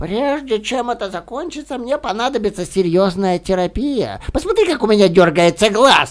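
This man talks at a moderate pace with lively intonation and hardly any pauses. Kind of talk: character voice performance of film lines. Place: home room. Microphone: studio mic.

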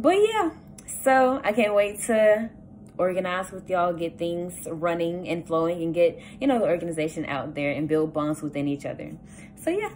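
Light background noise sits behind a woman with a Southern US accent and fairly low pitch. She speaks at a moderate pace with lively intonation. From US South, south Georgia. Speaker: student. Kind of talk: campaign speech; campaign message, casual vlog chat. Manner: casual, with frequent filler words. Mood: warm, hopeful, upbeat. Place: home room. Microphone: phone near.

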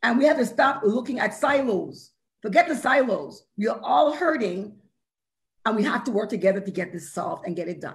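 A woman speaks fairly high in pitch, somewhat breathy, over a quiet background. Her pitch swings very widely, and her loudness rises and falls sharply. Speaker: corrections mental health professional; panelist. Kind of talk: panel discussion. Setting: video call. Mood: earnest, impassioned appeal. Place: home room. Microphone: video call.

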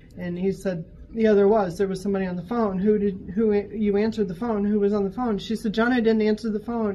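Music plays behind a woman who talks at a fairly quick pace in an animated tone with an American accent. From US Midwest. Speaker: shop worker telling ghost stories. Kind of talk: ghost story telling, told in a conversational first-person way. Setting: on-site interview in a gallery, with others listening. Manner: animated, vivid, suspenseful, with laughs and asides. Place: shop. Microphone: camera far.

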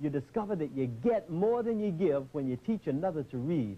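Speaking at a very fast pace, a man uses a dark, mellow tone with very wide pitch swings. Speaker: college basketball head coach. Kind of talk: pregame locker-room pep talk. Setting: locker room. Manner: firm, emphatic coaching instructions.

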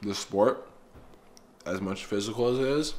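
Light noise runs behind a man who speaks at a moderate pace with ordinary pitch variation. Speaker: fitness vlogger. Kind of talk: casual vlog chat. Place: kitchen. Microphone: phone near.

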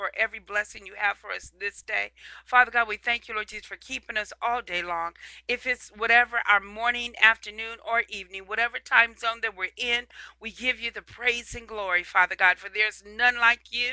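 A woman's bright, sharp voice at a fairly quick pace, with fairly even intonation, over a quiet background in a dry sound with no echo. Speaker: evangelist. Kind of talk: prayer and sermon. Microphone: headset.

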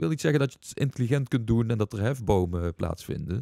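Against a quiet background, a man speaks in a fairly low pitch with a dark, mellow tone and lively intonation, the sound dry with no echo. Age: 40s. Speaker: entrepreneur and investment coach; investment coach. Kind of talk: casual interview. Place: studio. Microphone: studio mic.

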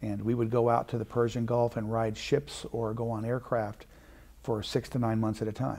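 A man talks at a moderate pace in a monotone, flat intonation. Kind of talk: interview answer. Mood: warm, proud reminiscence. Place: studio. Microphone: lapel.

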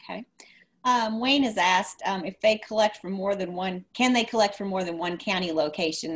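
In a normal speaking voice, a woman talks at a fairly quick pace with ordinary pitch variation. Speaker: extension show co-host. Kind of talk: live webinar hosting. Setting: video call. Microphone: webcam.

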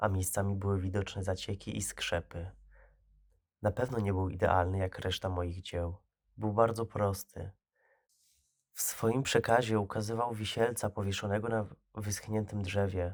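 A man's fairly low, flat monotone in a very clean recording with a silent background. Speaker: creepypasta narrator. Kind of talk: scripted horror story narration, first-person creepypasta reading. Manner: hushed, slow, ominous storytelling tone with suspenseful pauses.

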